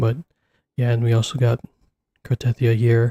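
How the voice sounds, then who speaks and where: A quiet, somewhat breathy man's voice at medium pitch, recorded with a dry, close sound and no echo. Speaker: gaming streamer. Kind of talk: casual chat. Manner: speaking quietly.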